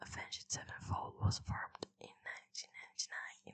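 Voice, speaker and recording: Whispering at a moderate pace. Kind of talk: reading a wiki article aloud. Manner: whispered.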